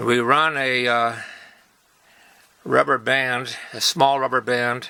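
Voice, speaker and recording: Speaking at a very slow pace, the man has a medium pitch. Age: 70s. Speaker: toy-making hobbyist. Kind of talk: tutorial. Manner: halting, with many fillers; casual.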